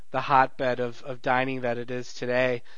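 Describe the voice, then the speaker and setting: Someone with an American accent speaks over audible room echo. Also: man. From Detroit. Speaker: podcast host, food journalist. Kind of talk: interview.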